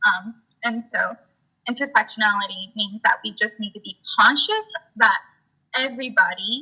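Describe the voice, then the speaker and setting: Bright and sharp in tone, a woman with a high pitch speaks at a moderate pace with ordinary pitch variation, big swings in loudness and long, frequent pauses. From South Texas (Rio Grande Valley). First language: Spanish. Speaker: student activist. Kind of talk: interview. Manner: hesitant, many fillers.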